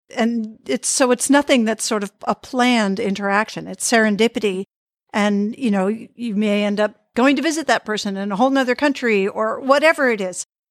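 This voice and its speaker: On a very clean recording with a silent background and a dry, close sound with no echo, a woman with an American accent and an unremarkable speaking voice talks at a fairly quick pace, fairly high in pitch with ordinary pitch variation. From Boston area, US. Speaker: podcast host. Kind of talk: casual interview chat. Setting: call.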